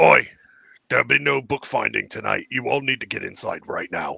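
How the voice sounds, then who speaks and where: This man puts on a raspy character voice. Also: moderate pace. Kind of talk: gruff, commanding.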